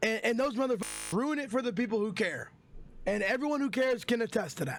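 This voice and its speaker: A man speaks loudly at a very fast pace, in an extremely high pitch. His tone is animated, with ordinary pitch variation. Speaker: streamer. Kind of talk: storytime vlog. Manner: loud, animated.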